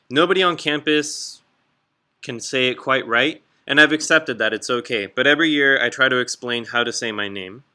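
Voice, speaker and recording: A man speaks with a Southern California accent. His pitch is fairly high and his pace moderate. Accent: Southern California American English. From Southern California (Escondido), Mexican American family. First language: Spanish. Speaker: high school English teacher. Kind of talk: class introduction presentation. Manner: casual, conversational.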